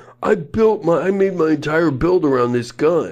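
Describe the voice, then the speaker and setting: A man speaks at a fairly slow pace in a put-on character voice pitched fairly high. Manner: whining.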